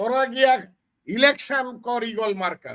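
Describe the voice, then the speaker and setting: A man speaks at a high pitch with ordinary pitch variation. His tone is animated. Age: 70s. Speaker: veteran politician and lawyer. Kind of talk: political commentary.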